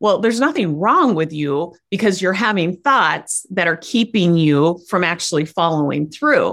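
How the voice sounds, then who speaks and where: Speaking with an American accent, a woman with an unremarkable speaking voice and a fairly low pitch keeps her loudness very even, uses lively intonation, barely pauses, and sits over a quiet background. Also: moderate pace. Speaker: life coach. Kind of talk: casual interview chat.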